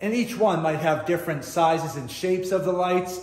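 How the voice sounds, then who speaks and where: A man's high voice with audible room echo. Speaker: motorcycle DIY vlogger. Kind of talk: casual vlog chat. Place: garage. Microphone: phone near.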